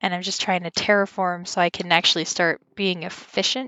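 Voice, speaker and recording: A woman speaks in a normal speaking voice at a medium pitch and a moderate pace. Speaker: gaming YouTuber. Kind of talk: casual gameplay commentary.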